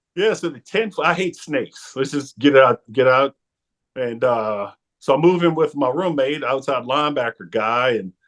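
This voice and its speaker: Speaking at a moderate pace with lively intonation, a man with a New Orleans accent has a fairly high pitch, heard against a quiet background in a dry, close sound with no echo. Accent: New Orleans Yat. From New Orleans, Louisiana. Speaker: former football player and sportscaster. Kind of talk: interview storytelling. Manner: halting, many fillers.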